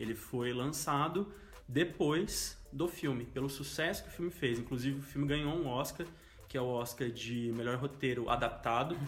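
Music plays in the background as a man with a fairly high pitch speaks at a moderate pace, with ordinary pitch variation and audible room echo. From interior of São Paulo state, Brazil. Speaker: journalist. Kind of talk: casual chat.

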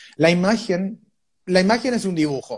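A man talks in a high voice at a moderate pace. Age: 20s. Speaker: tarot reader and physiotherapist. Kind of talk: interview. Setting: live video stream.

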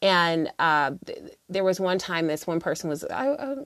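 A woman with an American accent has a normal speaking voice, a fairly low pitch and lively intonation. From United States. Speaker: podcast host. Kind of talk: solo podcast monologue, casual reflections. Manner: casual, conversational, many filler words.

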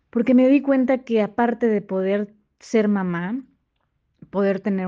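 Against a quiet background, a woman with a medium pitch and a dark, mellow tone speaks at a fairly slow pace with ordinary pitch variation. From Quintana Roo, Mexico. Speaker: working mother, professional. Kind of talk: recorded personal testimony. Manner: halting, repeats words.

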